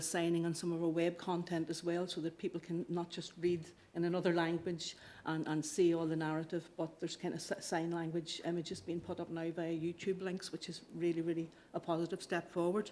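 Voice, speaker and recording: Speaking fairly quickly with a slight Irish accent, a woman keeps a fairly low pitch and a monotone, flat intonation. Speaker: council officer. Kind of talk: committee report presentation. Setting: council committee meeting. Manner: halting, with fillers and repetitions.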